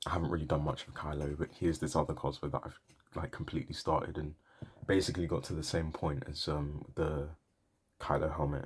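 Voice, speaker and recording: A man speaks softly at a moderate pace in a very deep, low pitch. His voice is somewhat breathy. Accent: British. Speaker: cosplay vlogger. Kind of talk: casual vlog monologue. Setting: home, late at night. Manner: soft-spoken, quiet; hesitant, many fillers.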